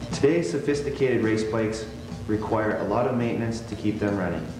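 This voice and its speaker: Over music in the background, a man talks at a medium pitch with ordinary pitch variation. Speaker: motocross racer. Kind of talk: instructional how-to narration. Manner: slow, concise.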